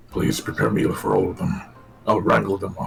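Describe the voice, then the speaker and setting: A man growls in a put-on character voice. Faint music plays in the background. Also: fairly quick pace. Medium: actual play. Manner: courteous but weary.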